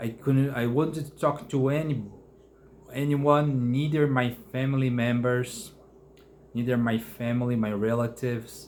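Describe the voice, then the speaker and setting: With a Brazilian Portuguese accent, a man speaks at a fairly slow pace using fairly even intonation. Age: 30s. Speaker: mental health vlogger. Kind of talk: personal testimony. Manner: halting, many fillers and restarts.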